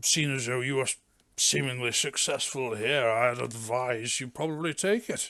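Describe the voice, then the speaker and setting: Against a quiet background, a man puts on a raspy character voice at a medium pitch and a moderate pace. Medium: actual play. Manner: clipped, officious.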